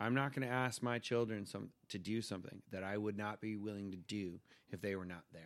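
Speaking at a fairly quick pace, a man with an American accent uses a fairly low pitch and ordinary pitch variation. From California, Simi Valley. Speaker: father and podcast guest. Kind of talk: casual chat. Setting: home studio.

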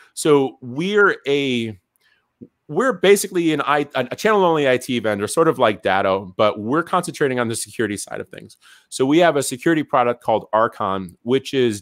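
In a normal speaking voice at medium pitch, a man talks at a fairly quick pace with lively intonation, in a dry, close sound with no echo on a very clean recording with a silent background. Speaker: sales trainer and former radio salesperson. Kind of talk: casual interview chat. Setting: live video stream.

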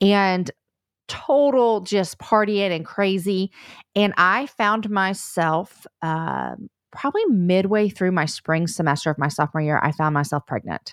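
In a very clean recording with a silent background and a dry, close sound with no echo, a woman with an unremarkable speaking voice talks at a fairly slow pace in a medium pitch. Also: lively intonation. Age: 40s. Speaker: podcast host and author. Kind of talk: testimony.

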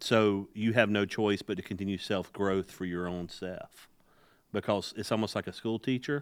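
A man speaks in an unremarkable speaking voice at a fairly low pitch. His intonation is fairly even, on a very clean recording with a silent background. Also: moderate pace. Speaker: podcast host and leadership guest. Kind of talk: casual podcast interview.

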